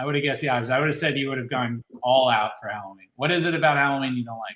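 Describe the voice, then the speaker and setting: A man with an American accent speaks at a very fast pace, with medium pitch and ordinary pitch variation. His tone is bright and sharp. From Ohio and Philadelphia area, US. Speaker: candle maker and channel host. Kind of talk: casual chat. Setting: livestream video chat. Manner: animated.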